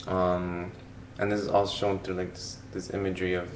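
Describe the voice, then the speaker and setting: There is audible room echo around a man's voice. He speaks at a moderate pace with a fairly low pitch. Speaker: vlogger reviewing a film. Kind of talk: casual film commentary. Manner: hesitant, many fillers and repetitions.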